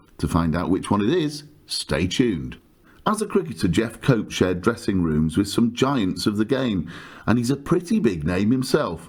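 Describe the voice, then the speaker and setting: A fairly low-pitched man with a southern English accent, very wide pitch swings and a moderate pace, on a very clean recording against a silent background. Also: very even loudness. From southern England. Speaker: podcast host. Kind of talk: scripted podcast intro.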